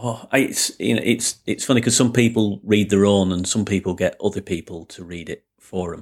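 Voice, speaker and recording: A man with a Lancashire accent talks at a moderate pace with hardly any pauses, his fairly low pitch showing ordinary variation. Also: very clean recording, silent background. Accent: Lancashire (Bolton). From northern England. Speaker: podcast host, business coach. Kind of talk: interview.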